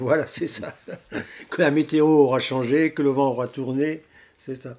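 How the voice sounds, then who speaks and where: Fairly high in pitch, a man speaks at a fairly slow pace with monotone, flat intonation. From Tours, France. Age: 70s. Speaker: long-distance touring cyclist. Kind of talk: interview answer.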